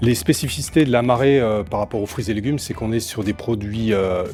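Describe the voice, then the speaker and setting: A man's pitch is medium and varies in an ordinary way. He talks at a fairly quick pace with music behind him. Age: 40s. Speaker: seafood department manager at a food wholesaler. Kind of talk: corporate interview portrait. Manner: hesitant with frequent fillers.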